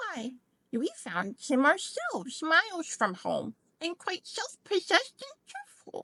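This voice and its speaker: This put-on character voice is squeaky and extremely high in pitch, delivered at a fairly slow pace. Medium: read story.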